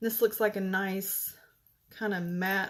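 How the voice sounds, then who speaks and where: A soft-spoken woman talks at a medium pitch on a very clean recording with a silent background. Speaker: makeup consultant. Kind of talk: tutorial.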